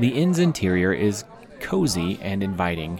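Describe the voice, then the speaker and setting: Against crowd noise in the background, a man speaks with a very deep, low pitch. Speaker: narrator of a tabletop role-playing game story. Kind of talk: scripted dramatic narration of a tabletop adventure; solo narrated playthrough, scripted storytelling.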